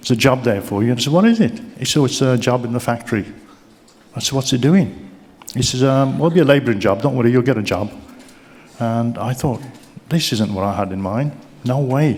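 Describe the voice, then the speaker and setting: A man at a medium pitch talks very fast with ordinary pitch variation and long, frequent pauses, in a room with audible echo. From Birmingham, England. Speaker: keynote speaker, business mentor. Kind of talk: keynote speech. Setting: stage with audience.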